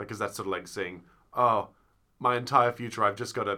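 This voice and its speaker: A man talks with an Australian accent. His intonation stays fairly even. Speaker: theatre podcast co-host. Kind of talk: casual chat.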